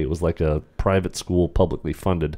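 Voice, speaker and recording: At a moderate pace, a man speaks in a very deep, low pitch with a dark, mellow tone. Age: 50s. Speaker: teacher and podcast co-host; teacher, podcast co-host. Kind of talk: casual chat. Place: home room. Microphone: studio mic.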